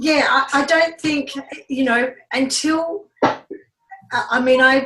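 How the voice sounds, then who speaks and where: A woman talks with a high pitch in an Australian accent. Her pace is very slow and her intonation fairly even. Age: 70s. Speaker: network marketing business leader. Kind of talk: team training talk.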